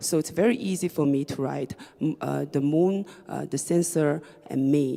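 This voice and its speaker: A woman talks at a moderate pace with a Chinese accent. Her pitch varies in an ordinary way. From China, Shanghai. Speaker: writer and DJ. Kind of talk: reading performance talk. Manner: halting, hesitant with fillers.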